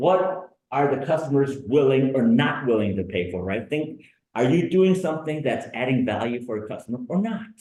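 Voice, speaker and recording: In a room with audible echo, a man with a dark, mellow tone and a fairly high pitch talks at a moderate pace, his pitch swinging very widely. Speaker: business workshop presenter. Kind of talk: lecture. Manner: conversational.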